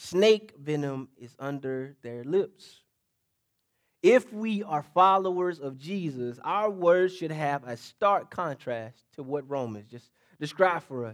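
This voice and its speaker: Speaking very slowly at a fairly high pitch, a man uses lively intonation and big swings in loudness, captured in a very clean recording with a silent background. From US South, Mississippi. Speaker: pastor. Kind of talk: sermon. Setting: church. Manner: call-and-response preaching style.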